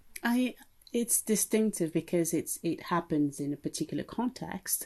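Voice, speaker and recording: A woman's voice at a moderate pace against a quiet background. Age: 50s. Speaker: history professor. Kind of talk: podcast discussion.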